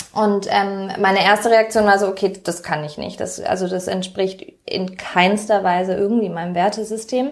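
An ordinary speaking voice at a moderate pace, with hardly any pauses and fairly even intonation. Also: woman, medium pitch for a woman. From Germany, Pforzheim. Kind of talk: interview.

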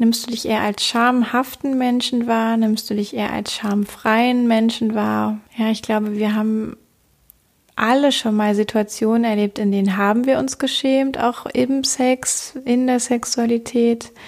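Speaking at a fairly slow pace, a woman with an ordinary speaking voice has a fairly high pitch and fairly even intonation. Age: 30s. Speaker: sex coach and podcast host. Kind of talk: solo podcast monologue.

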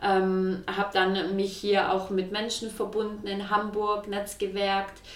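A woman speaks at a very slow pace. The room echo is audible, and there is noticeable background noise. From Swabia, southwest Germany. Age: 20s. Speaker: entrepreneur. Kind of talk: interview. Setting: kitchen in her flat.

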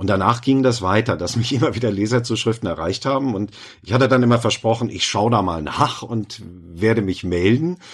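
In a very clean recording over a silent background, a man with a normal speaking voice talks fairly quickly at medium pitch with ordinary pitch variation. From rural Germany. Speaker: novelist and former therapist. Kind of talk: interview.

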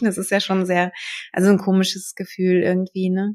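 The voice belongs to a woman. She talks fairly quickly. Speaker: podcast host, birth preparation coach. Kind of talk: casual interview.

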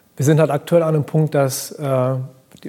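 A man talks at a fairly quick pace with fairly even intonation. There is noticeable background noise. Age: 30s. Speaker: fashion brand founder. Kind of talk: interview. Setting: live event recording.

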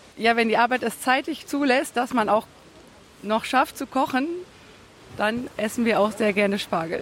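A woman's fairly high voice at a moderate pace, with long, frequent pauses and noticeable background noise. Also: ordinary pitch variation. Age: 40s. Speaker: farm worker selling asparagus. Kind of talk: interview. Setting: outdoor farmers market.

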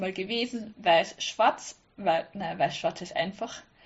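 There is an ordinary speaking voice with lively intonation, moving at a fairly slow pace. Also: woman. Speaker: sewing blogger. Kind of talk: casual chat. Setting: online call.

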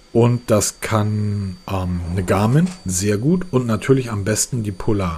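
A man's somewhat breathy voice unfolds at a very slow pace. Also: fairly low pitch for a man, ordinary pitch variation. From northern Germany, Hamburg. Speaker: tech podcast host. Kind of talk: casual chat.

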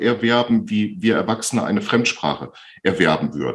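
Lively intonation and vocal fry mark this man's medium-pitched voice. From Bielefeld, Germany. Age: 50s. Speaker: speech therapist. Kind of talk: interview.

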